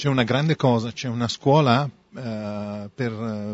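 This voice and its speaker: The speaker talks with an Italian accent. The intonation stays fairly even. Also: man. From Italy. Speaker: artist. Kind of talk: interpreted interview.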